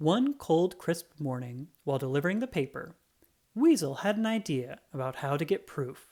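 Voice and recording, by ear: The pitch moves in big swings at a moderate pace. The tone is slightly mellow.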